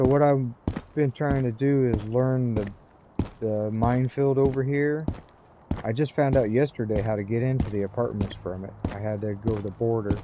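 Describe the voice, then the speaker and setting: A man's medium-pitched voice at a moderate pace, with fairly even intonation and noticeable background noise. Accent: American. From US Midwest, rural. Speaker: gaming streamer. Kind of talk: live gameplay commentary. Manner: casual, rambling with fillers.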